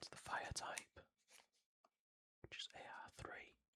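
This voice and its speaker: A man whispers in a calm tone with a British accent. His pace is fairly slow. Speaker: pokemon card collector. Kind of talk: casual talk to camera. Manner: soft-spoken, slow, calm.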